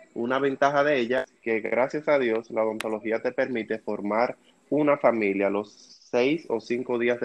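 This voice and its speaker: Speaking in a Dominican accent, a man with a medium pitch keeps a moderate pace and fairly even intonation. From Dominican Republic. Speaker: dental student, podcast co-host. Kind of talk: casual chat.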